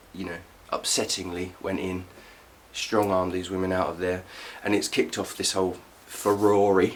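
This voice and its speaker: Speaking in a flat monotone, a man with a very deep, low voice leaves long, frequent pauses. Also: moderate pace. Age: 30s. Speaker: political commentator. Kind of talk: casual talk to camera.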